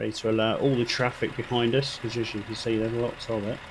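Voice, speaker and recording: Delivered at a fairly quick pace, the speech stays monotone and flat over light background noise. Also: man. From United Kingdom. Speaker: gaming streamer. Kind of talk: live gameplay commentary. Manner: casual and chatty.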